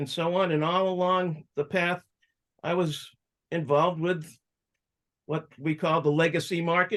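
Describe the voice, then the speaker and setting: Against a quiet background, a man with an American accent speaks in a high voice with monotone, flat intonation and long, frequent pauses. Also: fairly slow pace. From Massachusetts, suburban Boston. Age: 60s. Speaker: cannabis activist and entrepreneur. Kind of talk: interview life story.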